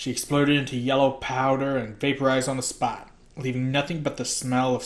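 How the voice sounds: Heard here is a natural reading voice.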